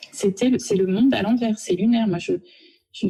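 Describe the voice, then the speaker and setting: Pitched fairly high, a woman's voice carries vocal fry and a dark, mellow tone with ordinary pitch variation. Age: 40s. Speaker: office manager, harassment victim. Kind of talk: testimony. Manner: halting, stammering.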